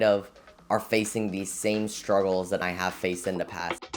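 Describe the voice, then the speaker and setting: Over music in the background, a man talks at a fairly quick pace in a fairly low pitch with monotone, flat intonation. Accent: American. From Florida. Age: 20s. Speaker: college student and small business owner. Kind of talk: casual vlog talk to camera.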